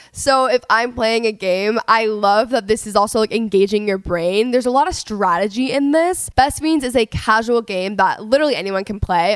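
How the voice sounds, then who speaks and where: An animated woman's voice with an American accent, fairly high in pitch, lively in intonation, at a moderate pace. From Texas, Dallas. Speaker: podcast host. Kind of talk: solo podcast intro; casual chat. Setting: home recording.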